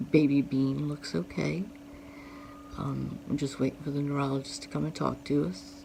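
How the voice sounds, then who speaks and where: She keeps a moderate pace as noticeable background noise carries through the clip. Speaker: vlogger. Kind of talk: personal vlog. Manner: halting.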